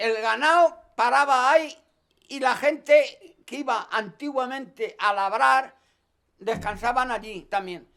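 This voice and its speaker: In a raised, projected voice with a bright, sharp tone, a man speaks at an extremely high pitch and a very slow pace, with ordinary pitch variation. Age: 80s+. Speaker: forest worker, resin tapper. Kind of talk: interview answer.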